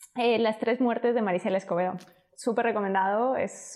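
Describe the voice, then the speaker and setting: A woman's fairly quick delivery with fairly even intonation. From Spain. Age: 30s. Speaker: entrepreneur. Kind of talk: interview.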